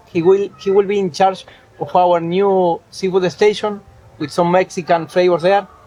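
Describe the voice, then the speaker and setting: A man speaks with a high pitch and fairly even intonation. Noticeable background noise runs underneath. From Argentina. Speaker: chef. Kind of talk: interview.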